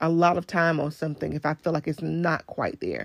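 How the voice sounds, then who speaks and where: Recorded very cleanly against a silent background, a woman talks at a fairly low pitch and a moderate pace, her voice dry and close with no echo. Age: 30s. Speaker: podcast host and entrepreneur. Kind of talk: casual monologue. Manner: halting, many fillers.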